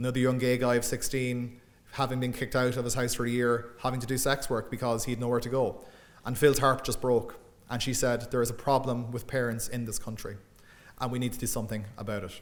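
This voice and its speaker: Talking at a very fast pace in a monotone, flat intonation, a man with an Irish Midlands accent uses a medium pitch, and audible room echo surrounds him. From Ireland, Midlands. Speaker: academic lecturer and author. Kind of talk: public lecture. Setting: lecture room with audience.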